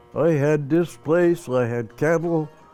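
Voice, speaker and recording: Music plays in the background as a man with a fairly high pitch and an American accent talks at a fairly slow pace. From Montana. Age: 80s+. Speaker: retired carpenter. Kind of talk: interview answer.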